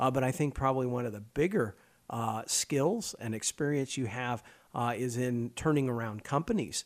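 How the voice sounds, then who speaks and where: A man's ordinary speaking voice: medium-pitched, moderately paced, with ordinary pitch variation. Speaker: podcast host. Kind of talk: interview conversation.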